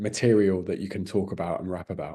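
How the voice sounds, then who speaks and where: Speaking at a fairly quick pace, a man has a dark, mellow tone, fairly low pitch and monotone, flat intonation. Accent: British. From Britain. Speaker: music interviewer. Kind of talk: interview.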